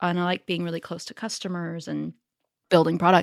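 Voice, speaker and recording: A woman with a Northern California accent speaks at a fairly low pitch, with a dry, close sound and no echo. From US, Northern California (Silicon Valley). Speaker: startup founder and CEO. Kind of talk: interview. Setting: remote call.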